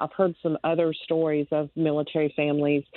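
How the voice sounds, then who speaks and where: A woman speaks in a North Carolina accent. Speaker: Gold Star mother and advocate. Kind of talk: interview testimony. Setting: remote call.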